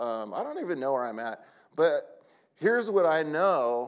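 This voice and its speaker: A man with an American accent on a very clean recording, silent background. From California. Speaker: preacher. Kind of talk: sermon. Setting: church conference with audience. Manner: animated.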